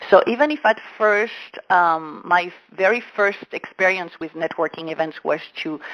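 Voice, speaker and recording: A woman's fairly low voice at a moderate pace, with a French accent. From France. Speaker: business coach. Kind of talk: interview. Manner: halting.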